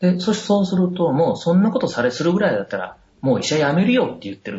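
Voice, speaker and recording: Hardly pausing, a man rattles along at a very fast pace in a high pitch. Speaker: doctor and medical professor. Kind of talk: casual interview. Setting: Skype call.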